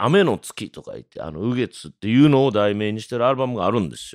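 On a very clean recording with a silent background and a dry, close sound with no echo, a man speaks at a fairly quick pace. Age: 40s. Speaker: jazz trumpeter. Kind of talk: casual monologue. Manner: animated; frequent fillers.

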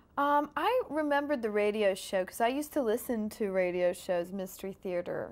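A woman speaking at a fairly quick pace. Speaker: actress promoting film. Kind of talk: interview answer. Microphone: lapel.

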